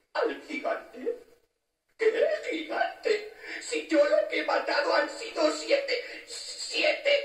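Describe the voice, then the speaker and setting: The voice is extremely high, with very wide pitch swings and a very slow pace, and there is a slight echo. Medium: audio drama.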